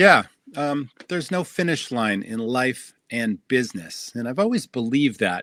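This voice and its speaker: At a moderate pace, a bright, sharp tone with lively intonation comes through on a very clean recording with a silent background. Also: man, medium pitch for a man. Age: 60s. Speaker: restaurant entrepreneur and podcast host. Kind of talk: interview storytelling.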